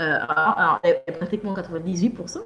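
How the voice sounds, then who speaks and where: A woman at a medium pitch and a moderate pace. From Gabon. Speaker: business coach. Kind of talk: interview. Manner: halting, many repetitions.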